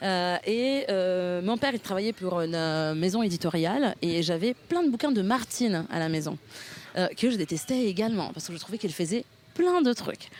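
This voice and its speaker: With an Italian accent, a woman speaks at medium pitch and a moderate pace with lively intonation. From northern Italy, near Milan. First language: Italian (speaking French). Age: 30s. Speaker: political party co-president. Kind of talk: interview. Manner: hesitant, many fillers.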